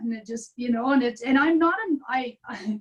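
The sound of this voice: Her voice is raspy with a slightly husky edge, and this woman speaks at a moderate pace with fairly high pitch. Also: ordinary pitch variation.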